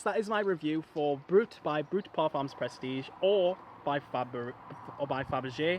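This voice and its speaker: A mumbling put-on character voice at a moderate pace, with light background noise. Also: man, fairly high pitch for a man. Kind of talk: casual review.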